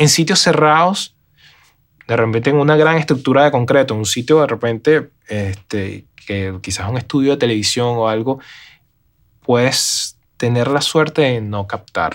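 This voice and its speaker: Over a silent background in a very clean recording, a man with a normal speaking voice talks at a medium pitch and fairly slow pace, with ordinary pitch variation. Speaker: live sound and RF engineer. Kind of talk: interview.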